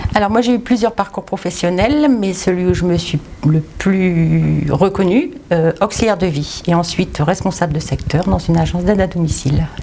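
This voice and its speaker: A woman's voice at a moderate pace, very even in loudness, with ordinary pitch variation and noticeable background noise. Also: fairly low pitch for a woman. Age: 60s. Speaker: retired volunteer. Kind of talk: interview testimony. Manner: hesitant, with many fillers.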